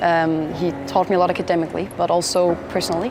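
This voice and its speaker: Over music in the background, a woman speaks with a fairly low pitch at a fairly quick pace. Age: 20s. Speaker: business consultant and university student. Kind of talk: interview monologue. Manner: halting, many fillers.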